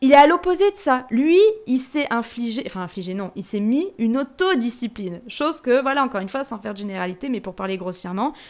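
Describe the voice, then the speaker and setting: Animated and high-pitched, a woman talks at a fairly quick pace with very wide pitch swings and big swings in loudness, in a very clean recording with a silent background. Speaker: podcaster. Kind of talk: personal reflection monologue. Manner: fast.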